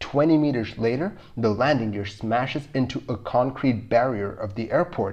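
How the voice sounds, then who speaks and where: A man with a somewhat breathy voice and medium pitch speaks at a moderate pace with ordinary pitch variation. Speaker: video narrator. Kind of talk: scripted documentary narration of an air disaster. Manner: measured, even, matter-of-fact; clear, explanatory.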